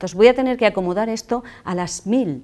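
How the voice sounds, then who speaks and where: Captured in a very clean recording with a silent background, a woman speaks with ordinary pitch variation. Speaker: public speaking trainer. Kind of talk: lecture. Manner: fast.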